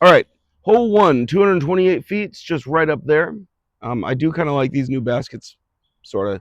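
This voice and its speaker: Talking at a fairly quick pace, a man makes very wide pitch swings. His loudness swings widely too. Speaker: disc golf youtuber. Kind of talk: casual play-by-play vlog. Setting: outdoors at disc golf course. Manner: casual, hesitant with fillers.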